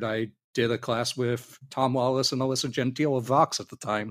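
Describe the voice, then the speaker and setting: Someone speaks in a Californian accent at a moderate pace. The recording is very clean, with a silent background. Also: man. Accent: General American (Californian). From San Diego, California. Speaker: voice actor and convention panel organizer. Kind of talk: casual interview.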